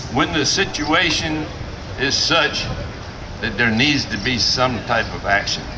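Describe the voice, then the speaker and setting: Lively intonation marks this man's fairly slow speech, heard with noticeable background noise and audible room echo. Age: 60s. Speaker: rally speaker. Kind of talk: protest rally speech. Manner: emphatic, repetitive rhetorical.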